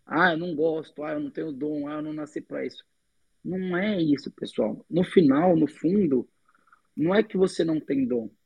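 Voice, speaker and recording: A man with a fairly high pitch talks at a moderate speed in an ordinary speaking voice, his pitch varying in an ordinary way. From São Paulo state, Brazil. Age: 20s. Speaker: civil engineering student and entrepreneur. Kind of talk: interview.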